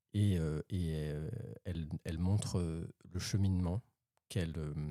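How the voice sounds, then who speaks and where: A man speaks in a very deep, low pitch with a dark, mellow tone and fairly even intonation. His pace is fairly slow, and the sound is dry and close with no echo. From France. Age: 30s. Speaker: amateur tango dancer. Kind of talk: interview. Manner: halting, many hesitations.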